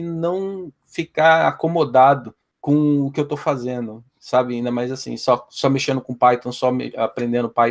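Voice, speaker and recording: A man at a fairly slow pace, in an ordinary speaking voice. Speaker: quality team manager, podcast founder. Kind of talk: podcast interview answer.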